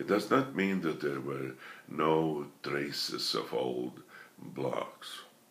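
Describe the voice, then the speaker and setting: A man speaks at a very slow pace, with audible echo in the room. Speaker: speech therapist who stutters. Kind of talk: lecture. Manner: halting, with repetitions and small deliberate disfluencies.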